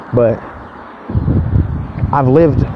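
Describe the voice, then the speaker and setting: Over noticeable background noise, a man at medium pitch speaks at a moderate pace with ordinary pitch variation. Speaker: vlogger. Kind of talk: casual rant. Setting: outdoors, walking to work. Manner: not too loud.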